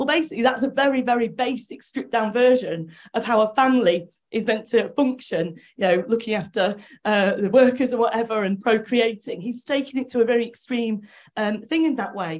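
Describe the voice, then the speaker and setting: She has a normal speaking voice with fairly high pitch. The woman talks at a fairly quick pace with ordinary pitch variation. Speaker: audience member. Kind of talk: discussion contribution. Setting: hall with roving microphone. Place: classroom.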